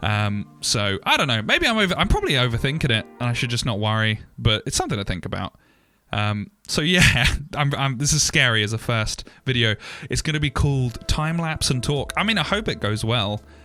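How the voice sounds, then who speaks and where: At a fairly quick pace, a man with medium pitch speaks in a bright, sharp tone. His intonation is lively. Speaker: 3D artist and YouTuber. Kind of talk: casual talk over timelapse. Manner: slurred, stumbling speech; off the cuff, rambling.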